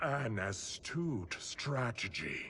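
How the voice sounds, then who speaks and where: Against clear background noise, a man puts on a raspy character voice at a medium pitch. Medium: video game.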